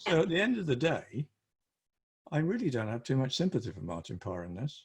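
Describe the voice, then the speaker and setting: This man talks at a fairly quick pace with vocal fry, very wide pitch swings, and big jumps in loudness. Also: medium pitch for a man. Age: 70s. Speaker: photography group presenter. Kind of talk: group discussion. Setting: video call. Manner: animated.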